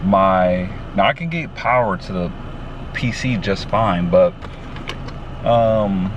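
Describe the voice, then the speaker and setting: The speech is very slow with long, frequent pauses, over noticeable background noise. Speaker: van life vlogger. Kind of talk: casual vlog talk. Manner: casual, filler-heavy.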